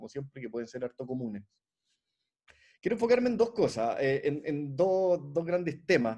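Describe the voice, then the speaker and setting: This man has a dark, mellow tone and a fairly high pitch, and he talks at a fairly quick pace. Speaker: competition lawyer and consultant, discussant. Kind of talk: academic panel commentary. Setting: online video conference. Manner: fast; hesitant with frequent fillers and repetitions.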